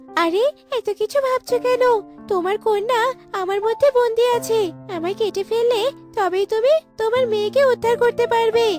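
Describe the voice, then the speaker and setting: With faint music in the background, a woman does a cartoonish character voice at an extremely high pitch and a fairly slow pace. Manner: sly, coaxing.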